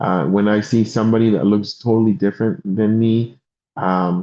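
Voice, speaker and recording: A man with a Spanish accent, fairly low in pitch, with fairly even intonation. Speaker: insurance and financial sales leader. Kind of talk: motivational talk on a live stream.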